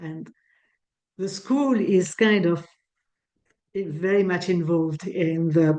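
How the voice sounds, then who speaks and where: A woman in a Swiss French accent, dark and mellow in tone, with ordinary pitch variation. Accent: French-Swiss accent, noticeable. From French-speaking Switzerland. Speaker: breathwork teacher. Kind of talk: online talk. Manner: halting, with many restarts.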